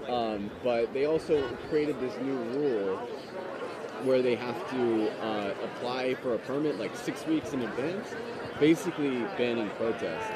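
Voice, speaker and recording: Speech at a fairly slow pace sounds dry with no echo, set against loud background noise. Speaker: livestream reporter. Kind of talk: live on-location commentary. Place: open country. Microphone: phone near.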